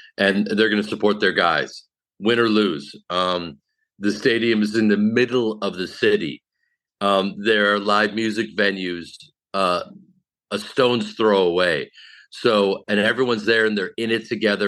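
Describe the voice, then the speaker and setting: A man's fairly low, bright and sharp voice with an American accent, fairly even intonation and a quiet background. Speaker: comedian. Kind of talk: casual chat.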